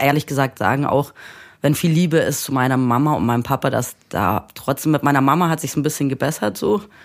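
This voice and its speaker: A woman talks at a fairly quick pace in a very deep, low voice. Her pitch varies in an ordinary way. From Munich, Germany. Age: 30s. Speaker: musician. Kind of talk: casual chat.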